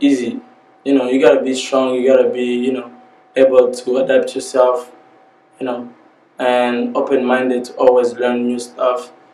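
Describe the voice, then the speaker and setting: A man's flat, monotone voice with audible room echo and noticeable background noise. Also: medium pitch for a man, moderate pace. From DR Congo. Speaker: rapper. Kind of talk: interview. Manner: casual.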